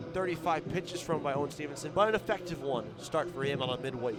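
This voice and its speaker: A man talks with an energetic tone. Music plays in the background. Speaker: baseball radio play-by-play announcer. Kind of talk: baseball radio play-by-play call. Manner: fast, energetic, sports broadcast delivery.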